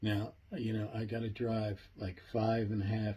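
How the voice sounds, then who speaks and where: A man speaks at a fairly slow pace in a fairly low pitch. His tone is dark and mellow, and somewhat breathy. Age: 70s. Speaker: project founder and video host. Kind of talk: casual monologue. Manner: animated; halting, with fillers and repetitions.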